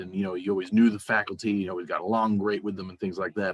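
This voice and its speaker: His pitch sits fairly low. The speaker is a man. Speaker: librarian. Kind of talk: online conference presentation. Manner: loud. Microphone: sounds far from the mic.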